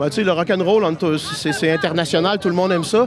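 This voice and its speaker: Music plays in the background. A man speaks with a high pitch and ordinary pitch variation. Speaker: festival-goer. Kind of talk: casual interview.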